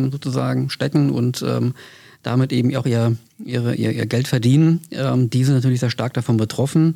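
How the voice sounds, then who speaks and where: Dark and mellow, a man's voice sits at medium pitch and moves at a moderate pace. His intonation is fairly even. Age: 50s. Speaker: trade union official. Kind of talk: interview.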